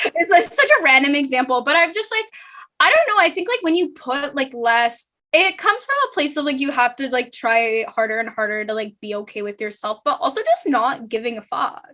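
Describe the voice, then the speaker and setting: A woman speaks in a high pitch, raising and projecting her voice at a fairly quick pace. Her pitch swings very widely. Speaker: law student and podcast host. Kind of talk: casual chat. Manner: loud.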